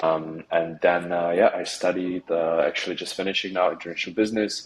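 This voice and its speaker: With background noise clearly noticeable, a man speaks at a fairly quick speed. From Czech Republic. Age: 20s. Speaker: business coaching student. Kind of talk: interview. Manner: hesitant with fillers.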